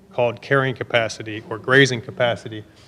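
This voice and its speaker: Noticeable background noise accompanies a man whose pitch shifts in an ordinary way. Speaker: researcher presenting at conference. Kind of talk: conference talk. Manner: fast.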